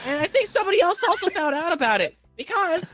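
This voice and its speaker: Delivered in a deadpan tone at a fairly quick pace, this put-on character voice sits at an extremely high pitch. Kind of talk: comic roleplay testimony. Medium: virtual streamer. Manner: rambling, deadpan.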